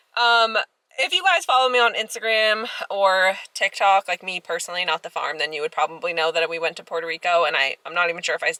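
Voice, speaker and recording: Very fast and fairly high-pitched, a woman's voice swings very widely in pitch, with a dry, close sound and no echo. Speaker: farmer and vlogger. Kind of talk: casual vlog. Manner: chatty, filler-heavy.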